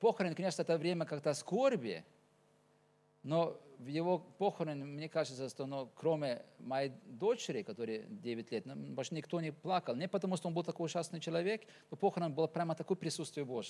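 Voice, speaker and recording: A fairly high-pitched man's voice, dark and mellow in tone, with lively intonation. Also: moderate pace. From Norway. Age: 40s. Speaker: pastor. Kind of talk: sermon. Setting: church.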